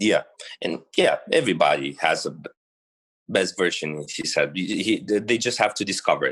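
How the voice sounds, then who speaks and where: A man with a Romanian accent talks at a fairly quick pace but takes long, frequent pauses. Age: 20s. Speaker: bodybuilder. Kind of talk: podcast interview. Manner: halting.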